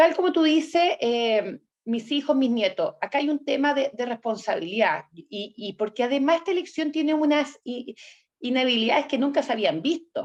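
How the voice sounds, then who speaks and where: The speaker has a Chilean accent and lively intonation at a moderate pace. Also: woman, high pitch for a woman. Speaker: political candidate and host. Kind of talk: interview conversation. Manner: halting, with restarts.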